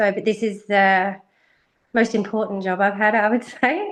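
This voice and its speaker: Here a woman talks at medium pitch and a moderate pace. Her intonation is fairly even against a quiet background. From Western Australia, Perth. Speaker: racehorse industry worker. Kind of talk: interview. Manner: hesitant, many fillers.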